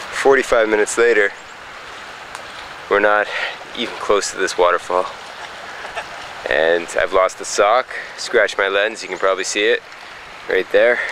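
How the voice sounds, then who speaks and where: A man talks at a moderate pace with long, frequent pauses against noticeable background noise. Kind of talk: video diary. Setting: outdoors.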